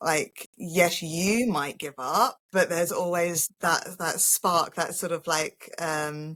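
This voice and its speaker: At a very slow pace yet with hardly any pauses, a woman of fairly low pitch speaks with ordinary pitch variation in a dry, close sound with no echo. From England. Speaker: holistic healer and spiritual coach. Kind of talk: casual interview chat.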